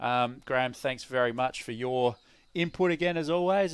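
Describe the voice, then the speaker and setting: Here a man with an Australian accent speaks at a moderate pace and medium pitch. His pitch variation is ordinary, and the recording is very clean with a silent background. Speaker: cricket commentator. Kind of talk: live commentary.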